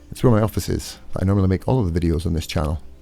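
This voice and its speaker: A man with a Scottish accent and a very deep, low pitch, ordinary pitch variation, and music in the background. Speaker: charity vlogger. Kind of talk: vlog narration. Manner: fast.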